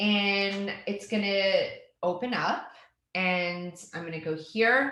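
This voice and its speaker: In a room with audible echo, a woman speaks very slowly with ordinary pitch variation. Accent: slight Canadian. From Canada. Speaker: educational technology trainer. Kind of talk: tutorial.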